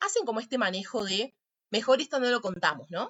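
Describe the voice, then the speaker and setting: Speaking at a fairly quick pace, a woman delivers her words. Her intonation is lively. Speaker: psychology teacher. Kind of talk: lecture. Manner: fast.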